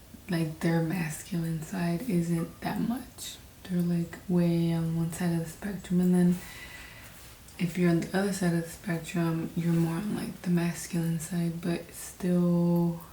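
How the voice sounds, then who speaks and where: A woman's fairly low, monotone, flat voice at a fairly slow pace, with audible room echo and noticeable background noise. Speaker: vlogger. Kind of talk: personal reflection monologue. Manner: hesitant, many fillers.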